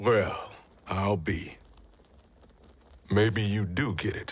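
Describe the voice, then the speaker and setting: A raspy, put-on character voice speaks at a very slow pace with fairly even intonation. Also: man, fairly low pitch for a man. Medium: video game. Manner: gruff, blunt.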